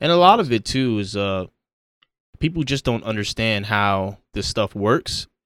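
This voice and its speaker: A man's unremarkable speaking voice with an American accent, dry and close with no echo, on a very clean recording against a silent background. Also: medium pitch for a man. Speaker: podcast host. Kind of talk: casual chat.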